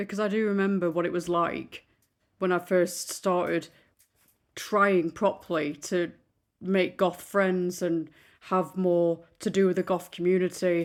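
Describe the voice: A fairly slow, slightly mellow delivery with fairly even intonation on a very clean recording with a silent background. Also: woman.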